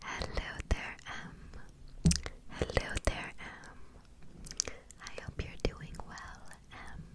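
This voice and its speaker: Over loud background noise, a soft-spoken woman whispers at a very slow pace in a gentle tone, the sound dry with no echo. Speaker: ASMR creator. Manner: soft gentle ASMR whisper. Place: home room. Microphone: studio mic.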